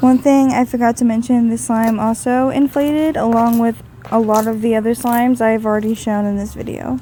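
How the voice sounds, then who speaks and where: The voice moves at a fairly quick pace in a monotone, flat intonation. Noticeable background noise is present. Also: woman, fairly high pitch for a woman. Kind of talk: casual product review voice-over.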